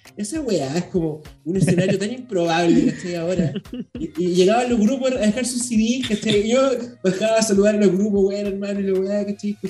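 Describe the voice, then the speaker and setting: A man with a Chilean accent and a high voice speaks at a moderate pace over noticeable background noise. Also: ordinary pitch variation. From Chile, Santiago (La Florida). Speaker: journalist and podcaster. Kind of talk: casual chat.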